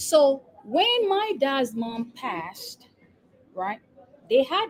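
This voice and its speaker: Speaking at a very slow pace with a Nigerian accent, a woman uses a high pitch with very wide pitch swings and big swings in loudness. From Nigeria, Lagos. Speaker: epidemiologist and business coach. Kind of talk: interview. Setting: live stream.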